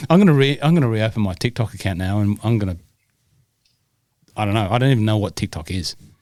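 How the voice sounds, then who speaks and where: Talking at a very fast pace with long, frequent pauses, a man with a Scottish accent uses lively intonation at a fairly low pitch. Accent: Scottish, living in Australia. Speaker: golf rules podcast co-host, referee. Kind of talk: casual chat. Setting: video recording studio with light rings.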